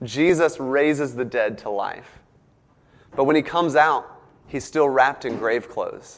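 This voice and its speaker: The delivery moves at a fairly slow pace. Its pitch varies in an ordinary way. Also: man. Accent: slight Southern US. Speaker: preacher giving a sermon. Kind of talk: sermon. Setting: church with congregation. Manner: animated when excited.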